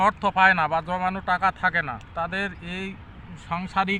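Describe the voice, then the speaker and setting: His pitch is high, and this man talks in a raised, projected voice. The tone comes across bright and sharp. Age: 60s. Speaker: potato farmer. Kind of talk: interview.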